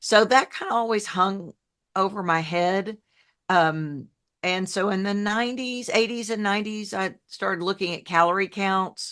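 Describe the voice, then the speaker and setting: In a Southern US accent, a woman speaks at a moderate pace with a medium pitch and fairly even intonation against a quiet background. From New Orleans, US South (raised from age ten). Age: 60s. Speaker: health coach, former TV journalist. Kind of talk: podcast interview. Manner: warm, down-to-earth.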